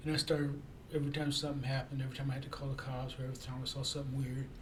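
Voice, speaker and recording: Against noticeable background noise and audible room echo, a man talks at a very fast pace, his fairly high voice held in a monotone, flat intonation. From Japan. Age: 60s. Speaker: freelance writer and YouTuber. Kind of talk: casual self-introduction monologue. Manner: halting, many repetitions and fillers.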